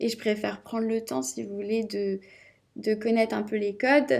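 A woman with an unremarkable speaking voice, medium pitch, ordinary pitch variation and a fairly slow pace. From Brittany, Rennes. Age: 20s. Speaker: entrepreneur. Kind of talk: interview.

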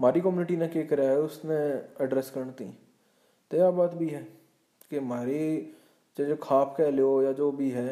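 A man talks in a dark, mellow tone with monotone, flat intonation. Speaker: podcast host. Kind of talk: solo commentary.

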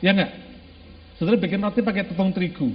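The man speaking has a high-pitched voice. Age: 50s. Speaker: pastor. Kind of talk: sermon. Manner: animated.

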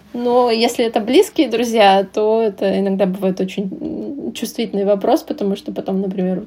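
In a fairly high pitch, a woman talks at a moderate pace with noticeable noise in the background. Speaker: translator. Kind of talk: casual interview chat.

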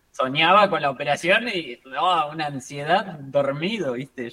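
A man's fairly high, bright and sharp voice, lively in intonation, at a fairly slow pace with hardly any pauses. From Argentina. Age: 20s. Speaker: trader and trading mentor. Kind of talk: casual interview chat.

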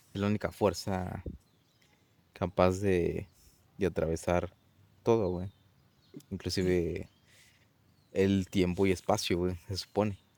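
A man's very deep, low voice with a dark, mellow tone, flat and monotone, at a very slow pace with long, frequent pauses. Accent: Mexican. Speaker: podcast co-host. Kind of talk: casual chat.

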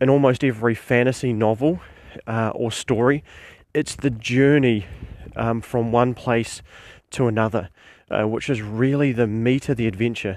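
In a New Zealand accent, a man speaks at a moderate pace with a medium pitch and fairly even intonation. Very clean recording, silent background. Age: 40s. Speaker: podcast host and tabletop game master. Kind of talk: solo instructional podcast monologue. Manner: halting with frequent fillers.

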